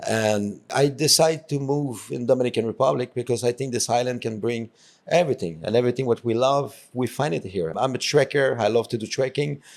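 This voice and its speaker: With a French Canadian accent, a man talks with hardly any pauses and ordinary pitch variation. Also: medium pitch for a man, fairly quick pace. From Quebec, Canada. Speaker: tour company founder. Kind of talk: interview. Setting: podcast. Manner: halting.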